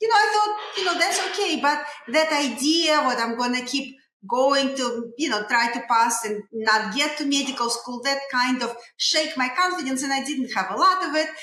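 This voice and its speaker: Raising and projecting her voice, a woman with a Russian accent talks at a moderate pace with a high pitch and lively intonation, and room echo is audible. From Russia, Saint Petersburg. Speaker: dentist. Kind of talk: interview storytelling. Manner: halting, many fillers.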